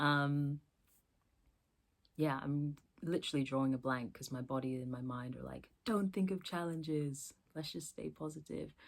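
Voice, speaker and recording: A woman's very deep, low voice at a moderate pace with long, frequent pauses, in a very clean recording over a silent background. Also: ordinary pitch variation. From US, born in England. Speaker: book vlogger. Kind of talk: casual chat. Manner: hesitant, many fillers.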